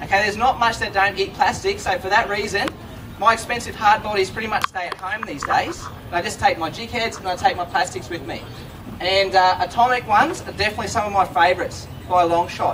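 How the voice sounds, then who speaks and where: Loud and very fast, a man with an Australian accent speaks at a high pitch with fairly even intonation, amid noticeable background noise and audible room echo. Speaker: fishing presenter. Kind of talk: live demonstration to audience. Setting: stage with audience at trade show.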